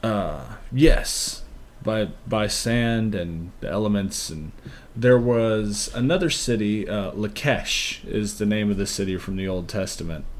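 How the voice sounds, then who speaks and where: In a room with audible echo, a man speaks at a fairly slow pace and fairly low pitch, with ordinary pitch variation. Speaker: podcast co-host. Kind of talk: casual chat. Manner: soft-spoken. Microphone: levels drop, quiet on mic.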